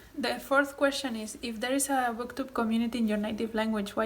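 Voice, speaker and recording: A woman with a Spanish accent speaks very fast in a fairly high, monotone, flat voice. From Spain. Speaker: booktuber. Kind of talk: casual vlog talk answering tag questions. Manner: hesitant with frequent ums.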